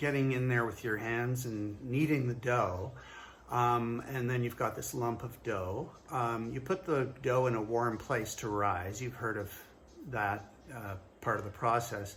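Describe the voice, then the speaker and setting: A man's medium-pitched voice with ordinary pitch variation, at a fairly slow pace, in a room with audible echo. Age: 60s. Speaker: fitness trainer. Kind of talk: casual talk to camera. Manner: hesitant, many fillers.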